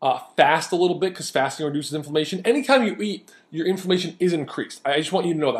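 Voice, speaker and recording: Very clean recording, silent background. A man talks at a very fast pace in a high pitch, with an animated tone and ordinary pitch variation. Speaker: diet coach. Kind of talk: video lecture.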